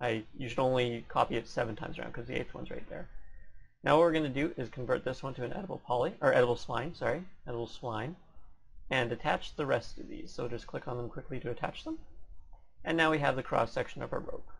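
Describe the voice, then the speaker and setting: Somewhat breathy and very fast, a man talks at a medium pitch with ordinary pitch variation. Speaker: 3D modeling tutorial creator. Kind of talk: tutorial. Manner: fast talker; casual, slightly sloppy.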